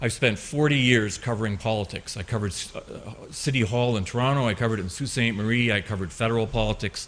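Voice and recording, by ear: A man talks at a fast pace with few pauses, his pitch fairly low and his tone fairly bright. His pitch varies an ordinary amount.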